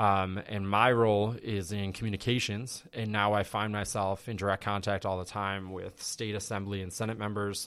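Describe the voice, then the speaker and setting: Here a man speaks with an American accent at a moderate pace. His pitch is fairly low and his intonation monotone and flat. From Western New York (West Seneca, near Buffalo). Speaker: college alumnus, communications professional. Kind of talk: podcast interview.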